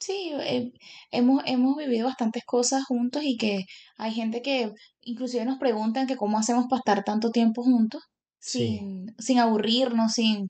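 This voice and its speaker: Her high voice has a dark, mellow tone as this woman speaks at a moderate pace with fairly even intonation. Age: 30s. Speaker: podcast co-host, mechanical engineer. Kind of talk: casual chat.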